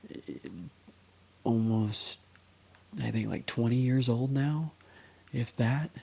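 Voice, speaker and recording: A man speaks quietly and very slowly in a dark, mellow tone. His pitch varies in an ordinary way. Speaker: gaming youtuber. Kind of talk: casual gameplay commentary. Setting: at home, playing video game. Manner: quiet, hushed; hesitant, many fillers.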